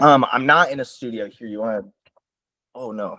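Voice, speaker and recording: With an American accent, a man of medium pitch talks at a fairly quick pace in a bright, sharp tone. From US Midwest, Sioux Falls, South Dakota. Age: 20s. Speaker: musician. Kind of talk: interview. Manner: casual, hesitant with fillers.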